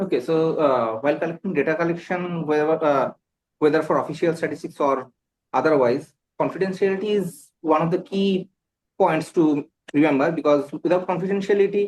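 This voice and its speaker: Someone with a Bengali accent speaks at a fairly quick pace with ordinary pitch variation. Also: man, fairly high pitch for a man. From India, West Bengal. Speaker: exam candidate. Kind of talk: mock job interview. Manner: halting, many fillers.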